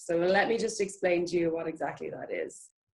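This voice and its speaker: In an Irish accent, a woman talks at a fairly quick pace. Her pitch is medium. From Ireland, Dublin. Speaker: marine biology PhD researcher. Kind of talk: online talk.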